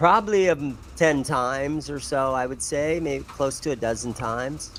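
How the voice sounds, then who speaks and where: A man with a fairly high pitch and ordinary pitch variation speaks in a plain, everyday voice. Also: moderate pace. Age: 60s. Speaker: bass player in a rock band, guitar shop owner. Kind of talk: casual chat.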